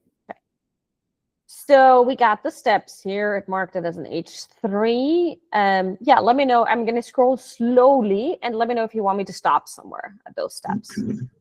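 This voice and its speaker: A woman's fairly high voice with big swings in loudness and a dry, close sound with no echo. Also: lively intonation, moderate pace. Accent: non-native. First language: not English. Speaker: digital marketing trainer. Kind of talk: live training session.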